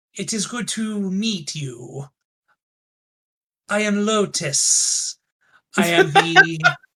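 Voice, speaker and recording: In a put-on character voice at middle pitch, the speaker goes at a very slow pace with long, frequent pauses. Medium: actual play. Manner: formal, measured.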